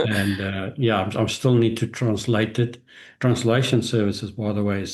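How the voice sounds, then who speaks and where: The speaker has a South African accent and talks at a moderate pace. The intonation stays fairly even over a quiet background. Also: man. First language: Afrikaans. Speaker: business executive and author. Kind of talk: podcast interview. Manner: halting.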